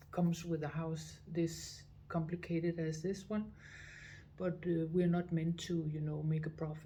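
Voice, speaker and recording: A woman's fairly low, somewhat breathy voice in a Danish accent, flat and monotone at a fairly slow pace, with audible room echo. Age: 60s. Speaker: visitor center director. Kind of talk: interview. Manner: halting, many fillers.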